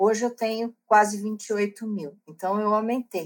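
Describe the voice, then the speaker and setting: This woman's pitch sits fairly high. She speaks at a very slow pace. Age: 60s. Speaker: book club organizer and author. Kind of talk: interview.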